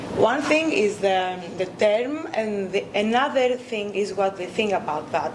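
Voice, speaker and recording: Amid noticeable background noise and audible room echo, a woman with a Greek accent speaks fairly slowly at a medium pitch. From Greece. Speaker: academic researcher. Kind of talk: conference talk. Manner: hesitant, many fillers.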